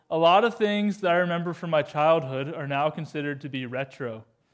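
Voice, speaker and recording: The speech moves at a fairly quick pace with lively intonation and hardly any pauses. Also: man. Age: 20s. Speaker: youth pastor. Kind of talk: sermon. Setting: church. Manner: animated.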